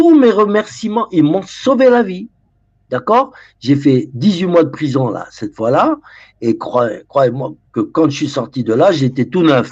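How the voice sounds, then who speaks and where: Against a quiet background, a man speaks at a fairly slow pace. His fairly high voice moves through very wide pitch swings. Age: 70s. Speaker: former drug dealer and author. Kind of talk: interview. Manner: halting with repetitions.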